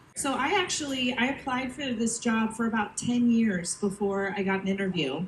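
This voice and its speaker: Speaking with an American accent, a woman with a fairly high voice uses lively intonation at a moderate pace, with hardly any pauses and very even loudness. Audible room echo and noticeable background noise can be heard. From United States. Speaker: cruise entertainment staff. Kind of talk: onstage panel talk.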